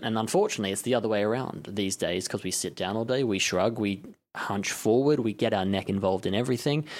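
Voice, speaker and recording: A man's fairly low-pitched voice at a very fast pace, on a very clean recording with a silent background. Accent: Australian. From Australia, Melbourne. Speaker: personal trainer. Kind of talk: interview.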